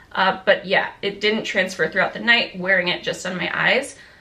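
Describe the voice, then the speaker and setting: Noticeable background noise under a woman speaking with ordinary pitch variation. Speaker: beauty and fitness vlogger. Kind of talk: casual product review.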